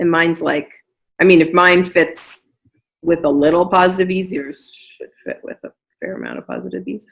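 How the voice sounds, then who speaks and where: A woman's fairly low voice with vocal fry, fairly even intonation, a moderate pace, and big swings in loudness. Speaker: knitting podcast host. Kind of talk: casual podcast conversation.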